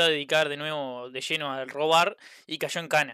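Over a silent background in a very clean recording, a man speaks with a bright, sharp tone. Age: 20s. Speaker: podcast co-host. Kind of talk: casual chat.

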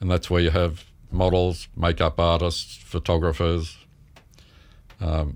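An Australian-accented man with a very deep, low pitch, moderate pace, long and frequent pauses, very even loudness and fairly even intonation. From Melbourne, Australia. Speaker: photographer. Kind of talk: interview.

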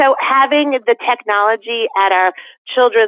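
A woman speaks with an American accent in a normal speaking voice. Her pace is moderate, with ordinary pitch variation. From Connecticut, West Hartford. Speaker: school board member. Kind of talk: interview.

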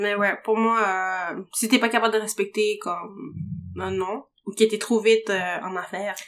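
A woman at medium pitch speaks at a fairly slow pace in a monotone, flat intonation. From Latin America. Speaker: podcast guest. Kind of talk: casual chat.

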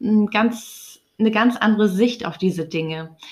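This woman's pitch is fairly high. She talks at a fairly slow pace. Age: 30s. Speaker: spiritual podcaster. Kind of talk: personal monologue. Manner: hesitant, many fillers.

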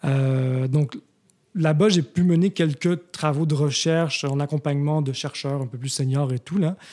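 Speaking at a fairly slow pace, a man has a dark, mellow tone, a fairly high pitch and fairly even intonation. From Quebec, Montreal. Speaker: architect and urban researcher, new professor. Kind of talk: casual interview.

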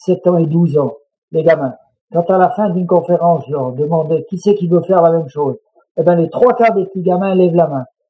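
A man's unremarkable speaking voice, fairly high in pitch, at a fairly quick pace. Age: 60s. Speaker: mountain guide and public speaker. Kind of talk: interview.

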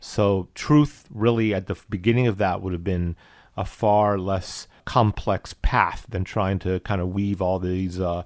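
A man with an American accent talks in a normal speaking voice, fairly low in pitch, with fairly even intonation at a fairly slow pace. The recording is very clean, with a silent background. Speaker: guest, husband of the host. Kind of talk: interview, conversational discussion.

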